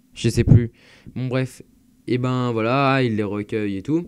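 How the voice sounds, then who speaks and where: Very slow speech from a man at a medium pitch, with ordinary pitch variation. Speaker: YouTuber reviewing manga. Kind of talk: casual vlog monologue. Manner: hesitant, many fillers.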